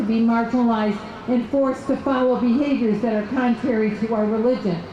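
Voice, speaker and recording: A woman's high voice with an American accent, ordinary pitch variation and a fairly quick pace, with audible room echo and noticeable background noise. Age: 60s. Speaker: political activist. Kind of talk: rally speech.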